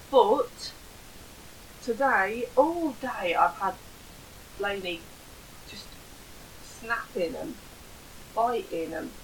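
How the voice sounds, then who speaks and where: Over noticeable background noise, a woman with a fairly high voice swings very widely in pitch, shifts greatly in loudness, and leaves long, frequent pauses. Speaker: podcast co-host and mother.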